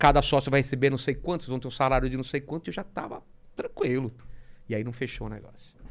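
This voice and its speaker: A man's very fast speech with vocal fry and fairly even intonation. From Brazil. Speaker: comic artist. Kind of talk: casual chat. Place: studio. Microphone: studio mic.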